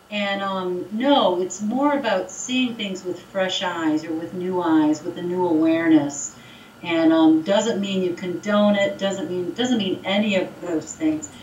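Noticeable background noise sits behind a woman speaking at a medium pitch and a fairly slow pace, with ordinary pitch variation. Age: 50s. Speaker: gossip researcher and speaker. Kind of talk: casual chat.

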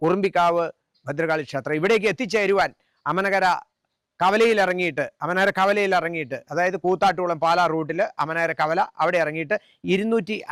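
A man speaks at a high pitch with ordinary pitch variation and very even loudness. The sound is dry and close, with no echo. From Kerala, Kottayam district (Amanakara, Ramapuram). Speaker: temple committee member and religious preacher. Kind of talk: on-location interview. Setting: outdoors at a temple.

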